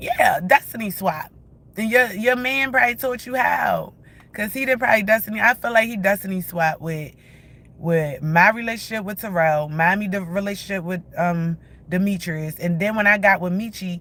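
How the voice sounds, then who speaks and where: A woman at a medium pitch with ordinary pitch variation, a bright, sharp tone and a moderate pace. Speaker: vlogger. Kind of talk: angry rant. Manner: heated.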